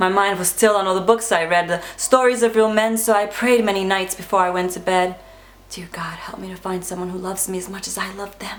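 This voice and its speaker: Over noticeable background noise, a woman speaks at a fairly quick pace. Her medium pitch stays monotone and flat. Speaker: spoken word poet. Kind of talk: spoken word poetry performance.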